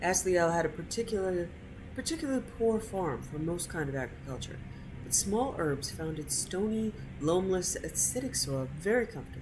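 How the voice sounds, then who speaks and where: Music plays in the background as a woman speaks with an American accent. Her pace is moderate, and room echo is audible. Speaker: video game streamer. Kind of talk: reading aloud. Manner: casual.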